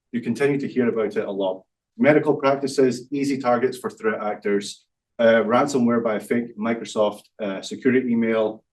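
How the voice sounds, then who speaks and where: In a Scottish accent, a medium-pitched man talks at a fairly quick pace with fairly even intonation. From Scotland. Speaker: startup founder, cybersecurity. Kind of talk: business pitch presentation. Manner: hesitant, many fillers.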